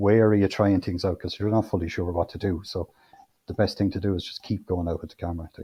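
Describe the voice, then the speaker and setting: A man with an Irish Midlands accent talks at a very fast pace and a fairly low pitch, his dark, mellow tone somewhat breathy and his intonation monotone and flat, in a dry, close sound with no echo. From Irish midlands, Co. Offaly. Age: 40s. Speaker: amateur photographer. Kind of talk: interview conversation.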